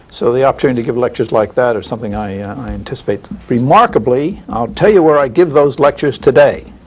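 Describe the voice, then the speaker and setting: A man with an American accent at a medium pitch, talking very fast with hardly any pauses over noticeable background noise. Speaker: statistician. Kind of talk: interview. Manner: halting with fillers.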